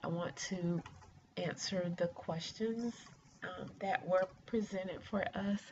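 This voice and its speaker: Noticeable background noise sits behind a woman's voice. She speaks very slowly with fairly even intonation. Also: medium pitch for a woman. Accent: American. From US South, rural east central Georgia near Augusta. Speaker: doctoral student, former mental health counselor. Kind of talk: class introduction video. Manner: hesitant with many fillers.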